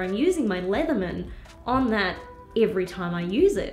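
A woman speaks at a moderate pace in an upbeat tone, her pitch swinging very widely, with music playing in the background. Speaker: filmmaking gear YouTuber. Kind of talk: product review to camera.

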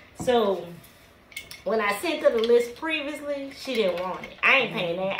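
A woman speaks at a fairly slow pace. Light background noise and audible room echo are present. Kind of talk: casual vlog chat. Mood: playful complaining. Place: office. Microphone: camera far.

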